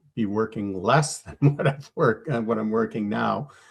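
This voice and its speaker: A man with a Canadian accent speaks with fairly low pitch. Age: 60s. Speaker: engineer. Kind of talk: interview. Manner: halting.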